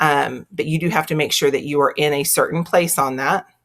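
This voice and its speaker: The recording is very clean, with a silent background. The speaker has a slight Texan accent. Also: woman. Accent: Texas accent, slight. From Texas. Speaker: teacher or school librarian. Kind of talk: screencast tutorial. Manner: casual, conversational.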